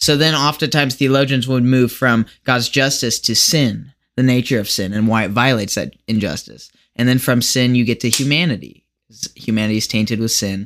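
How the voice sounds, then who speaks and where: An ordinary speaking voice from a man with an American accent, medium in pitch with ordinary pitch variation, at a fairly quick pace on a very clean recording with a silent background. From US Midwest (Lincoln, Nebraska). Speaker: podcast guest with theology interest. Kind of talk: casual interview chat. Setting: home basement, shared mic.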